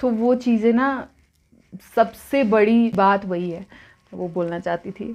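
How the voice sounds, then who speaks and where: A woman speaks with a slight non-native accent and fairly even intonation. Her background is quiet. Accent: slightly non-native Hindi. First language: not Hindi (speaking Hindi). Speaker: mukbang vlogger. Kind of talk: casual chat while eating.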